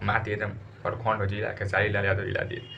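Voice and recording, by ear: A man's fairly low voice with vocal fry and a fairly bright tone, at a fairly quick pace amid audible room echo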